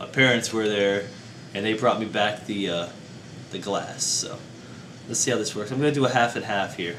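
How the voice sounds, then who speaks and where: Amid noticeable background noise, a man with a fairly low voice speaks at a moderate pace with fairly even intonation and long, frequent pauses. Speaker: beer reviewer. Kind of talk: casual talk to camera.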